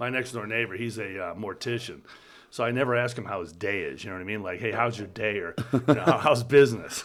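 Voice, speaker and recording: Talking at a very fast pace with an American accent, a man keeps a medium pitch and ordinary pitch variation while his loudness swings widely. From upstate New York. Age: 60s. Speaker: company CEO, former army military police. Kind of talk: casual interview chat.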